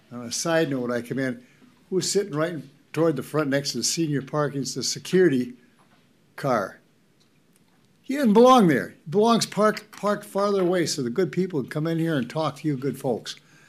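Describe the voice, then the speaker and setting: With an Upper Midwest accent, a man talks at a fairly quick pace in a fairly high pitch with lively intonation. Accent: Upper Midwest (Minnesota). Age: 80s+. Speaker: resident speaking at public comment. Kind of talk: public comment at county board meeting. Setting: county board meeting room, at podium.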